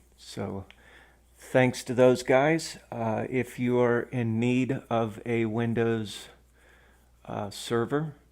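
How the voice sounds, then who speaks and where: Speaking very slowly with an American accent, the man keeps a medium pitch and fairly even intonation. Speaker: tech tutorial maker. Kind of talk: tutorial. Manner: hesitant, many fillers.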